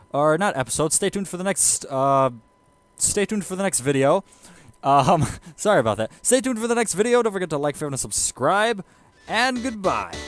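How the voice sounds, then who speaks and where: The speaker moves at a fairly quick pace, with very wide pitch swings. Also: man, high pitch for a man. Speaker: gaming YouTuber. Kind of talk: video outro, casual talk to camera. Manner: stuttering, halting.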